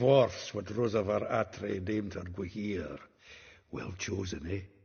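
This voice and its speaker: Using a put-on character voice with a slight Scottish accent, a gruff man talks at a fairly slow pace in a fairly low pitch. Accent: Scottish-tinged dialect. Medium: video game. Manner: gruff, chuckling, gossipy.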